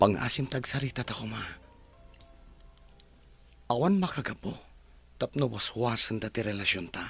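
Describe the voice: Using a put-on character voice, a man speaks at a fairly low pitch with vocal fry, a husky, rough edge and a bright, sharp tone, leaving long, frequent pauses while faint music plays in the background. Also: ordinary pitch variation, moderate pace.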